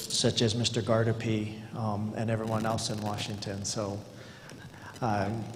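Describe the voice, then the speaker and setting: The pace is fairly slow. Audible room echo and noticeable background noise are both present. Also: man. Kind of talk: formal presentation at a public meeting. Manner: halting, with many fillers; formal.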